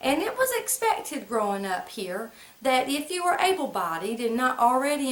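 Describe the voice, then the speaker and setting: A woman's high-pitched voice at a moderate pace, with noticeable background noise. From US South, central North Carolina (Moore/Lee County). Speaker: vlogger. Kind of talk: casual storytelling monologue. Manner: conversational, folksy vernacular.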